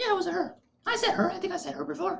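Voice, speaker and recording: This put-on character voice races along at a very fast pace with an extremely high pitch. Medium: actual play. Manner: flustered, defensive.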